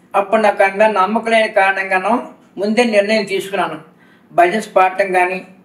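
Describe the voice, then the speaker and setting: A man's high-pitched voice with monotone, flat intonation and noticeable background noise. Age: 70s. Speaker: retired factory manager, devotee. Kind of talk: interview testimony.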